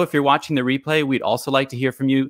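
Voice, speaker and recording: Against a quiet background, a man's voice sounds dry, with no echo. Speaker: live stream host. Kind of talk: live stream hosting chat. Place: home room. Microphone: studio mic.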